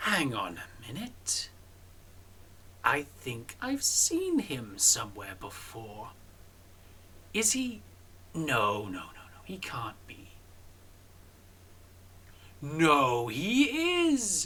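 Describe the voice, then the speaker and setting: Over clear background noise, a put-on character voice at a middle pitch goes at a very slow pace with long, frequent pauses. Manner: suspicious, recognizing someone.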